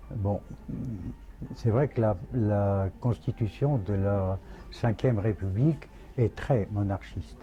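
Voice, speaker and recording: Speaking at a very slow pace with long, frequent pauses, a man keeps to a fairly low pitch. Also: ordinary pitch variation. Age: 80s+. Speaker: royal pretender. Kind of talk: interview answer.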